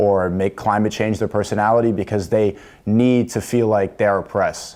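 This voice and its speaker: Speaking fairly quickly in a New York accent, a man has a dark, mellow tone, fairly low pitch and fairly even intonation. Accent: American, New York. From US Northeast, New York City. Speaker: influencer on a dating show. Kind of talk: dating show debate.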